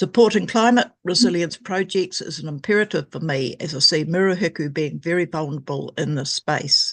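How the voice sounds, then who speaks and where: The speaker has a New Zealand accent and hardly any pauses. The background is quiet. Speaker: environmental group member making a submission. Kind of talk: reading a prepared submission at a council hearing. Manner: formal.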